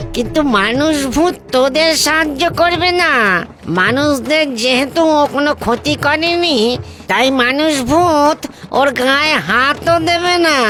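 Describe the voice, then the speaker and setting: A high, cartoonish character voice at a very slow pace, over clear background music. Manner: commanding, authoritative.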